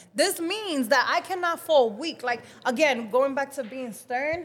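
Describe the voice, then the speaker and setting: With a Dominican accent, a woman speaks at a moderate pace with ordinary pitch variation. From Dominican Republic. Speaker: model and life coach. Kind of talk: casual chat. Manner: animated.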